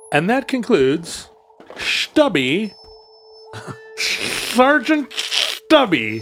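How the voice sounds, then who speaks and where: Over faint background music, a put-on character voice with fairly high pitch and very wide pitch swings moves at a very slow pace in a playful tone, with long, frequent pauses. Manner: playful, mock-announcing.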